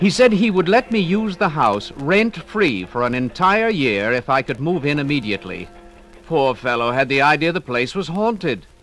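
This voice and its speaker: Over music in the background, a man with a fairly high pitch speaks at a moderate pace, his pitch swinging very widely. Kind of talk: dramatized first-person ghost story narration.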